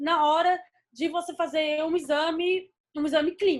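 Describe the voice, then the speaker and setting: A woman with an extremely high pitch speaks with ordinary pitch variation. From Brazil, Espírito Santo (Vitória). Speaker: veterinarian, lecturer. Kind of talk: lecture.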